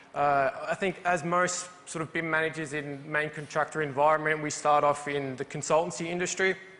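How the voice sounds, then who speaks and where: With noticeable background noise, a man with a fairly high pitch talks at a fairly quick pace with hardly any pauses and fairly even intonation. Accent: Australian. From Australia, Melbourne. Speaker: BIM manager. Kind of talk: conference presentation.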